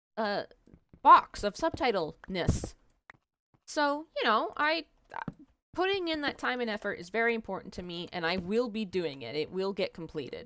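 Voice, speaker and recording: A woman speaks at a fairly high pitch in a bright, sharp tone, with very wide pitch swings. She leaves long, frequent pauses. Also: moderate pace. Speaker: gaming video creator. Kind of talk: let's play commentary. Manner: clearly enunciated; conversational with filler words.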